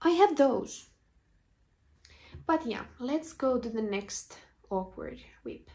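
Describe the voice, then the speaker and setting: A woman with a Finnish accent speaks at a high pitch in a dark, mellow tone, with very wide pitch swings. Her pace is very slow, with long, frequent pauses. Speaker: knitting podcaster. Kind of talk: casual video podcast chat.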